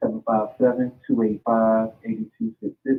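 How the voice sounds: A man speaks with big pitch swings and vocal fry. His voice has a slightly husky edge.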